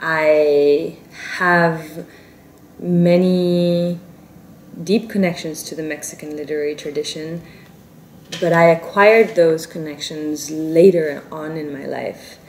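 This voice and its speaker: Over noticeable background noise, a woman with a Spanish accent talks very slowly at a fairly low pitch, her intonation fairly even but her loudness swinging a lot. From South Korea, South Africa, India. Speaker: novelist. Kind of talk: interview. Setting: Paris interview. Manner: halting, self-correcting.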